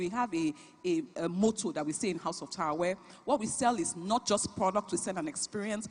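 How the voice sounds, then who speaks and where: A woman with a Nigerian accent speaks fairly quickly in an animated, somewhat breathy voice at a medium pitch with lively intonation. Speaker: business founder and CEO. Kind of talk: panel talk at a conference.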